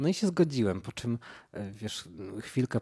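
Dark, mellow tone from a man, quiet background. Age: 30s. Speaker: painter. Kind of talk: casual chat. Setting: sitting on a rug at the host's home in Warsaw. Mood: relaxed, smiling. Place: home room.

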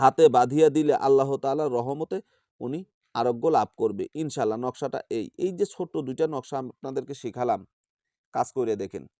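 Against a quiet background, a man's fairly high-pitched voice carries a dark, mellow tone with ordinary pitch variation, the sound dry and close with no echo. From Bangladesh, Bogura. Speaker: folk healer. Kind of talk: testimony; tutorial.

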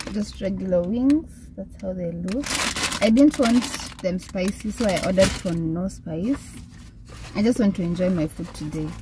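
A woman at a moderate pace with long, frequent pauses and ordinary pitch variation, in a dry sound with no echo amid noticeable background noise. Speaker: vlogger. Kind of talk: casual vlog chat. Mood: cheerful, relaxed. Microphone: phone near.

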